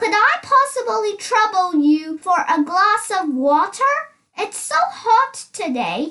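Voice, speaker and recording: A woman puts on a squeaky character voice with an extremely high pitch and very wide pitch swings, talking at a fairly slow pace. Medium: read story. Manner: polite.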